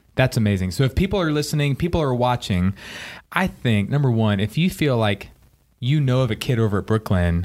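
A plain, everyday voice moves at a fairly quick pace with lively intonation, on a very clean recording with a silent background. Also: man, very even loudness. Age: 30s. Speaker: church podcast host. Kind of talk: casual chat.

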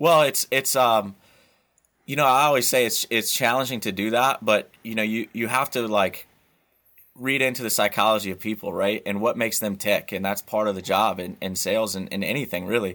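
An unremarkable speaking voice with an American accent, fairly quick and with ordinary pitch variation, on a very clean recording with a silent background. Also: man, medium pitch for a man. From US Midwest, central Illinois. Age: 30s. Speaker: sportswear sales manager. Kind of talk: interview.

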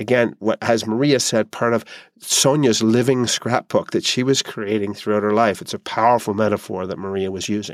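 In a plain, everyday voice, a man speaks at a moderate pace and medium pitch with fairly even intonation, the sound dry and close with no echo in a very clean recording over a silent background. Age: 50s. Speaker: podcast host. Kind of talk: solo podcast monologue.

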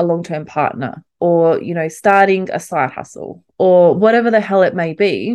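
In an Australian accent, a woman speaks at medium pitch and a moderate pace against a quiet background. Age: 30s. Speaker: podcast host. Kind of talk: solo motivational monologue. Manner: animated.

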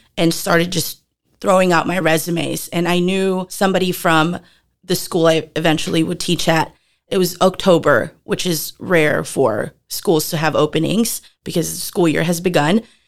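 In an unremarkable speaking voice, the speaker goes at a moderate pace with fairly even intonation on a very clean recording with a silent background. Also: woman, fairly low pitch for a woman. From Philippines, moved to Texas at 10. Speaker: former middle school teacher. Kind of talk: casual interview.

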